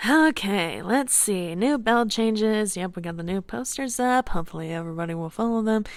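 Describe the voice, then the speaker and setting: This female-sounding voice is a put-on character voice at medium pitch. It moves at a fairly quick pace with hardly any pauses. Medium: audio drama. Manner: casual, teasing.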